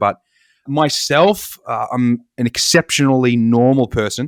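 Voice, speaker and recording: A man with an Australian accent speaks at a medium pitch, recorded very cleanly against a silent background with a dry, close sound and no echo. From Australia, Victoria (Melbourne suburbs). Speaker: agtech company co-founder, engineer. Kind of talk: casual podcast interview.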